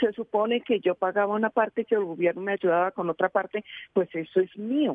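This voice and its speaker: A woman speaks at a fairly quick pace in a normal speaking voice, with ordinary pitch variation. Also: medium pitch for a woman, very even loudness. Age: 60s. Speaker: caller. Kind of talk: phone-in question.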